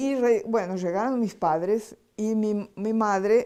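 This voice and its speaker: In a Portuguese accent, a woman with a dark, mellow tone speaks at a very slow pace with ordinary pitch variation, in a very clean recording with a silent background. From Brazil. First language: Portuguese (speaking Spanish). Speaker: spiritual healing lecturer. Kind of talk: lecture.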